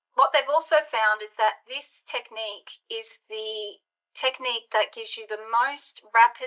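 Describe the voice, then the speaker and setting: A woman speaks in a normal speaking voice at a fairly high pitch. Her pace is moderate and her pitch variation ordinary. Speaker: leadership coach. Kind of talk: webinar presentation.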